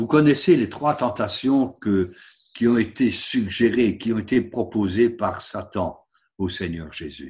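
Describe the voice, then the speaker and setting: A man with a medium pitch, lively intonation and a somewhat breathy voice, at a very slow pace, against a quiet background. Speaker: preacher. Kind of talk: sermon. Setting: online service. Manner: earnest, didactic, persuasive; rhetorical, engaging the congregation.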